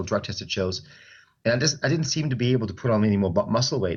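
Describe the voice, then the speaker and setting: The voice carries a German accent. It belongs to a man. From Germany, Stuttgart. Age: 40s. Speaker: personal trainer and bodybuilder. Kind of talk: interview.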